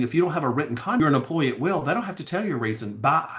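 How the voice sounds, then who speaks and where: Speaking with a Southern US accent, a man sounds animated, his intonation lively. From US South, Alabama. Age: 60s. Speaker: pageant coach and attorney. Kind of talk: casual chat.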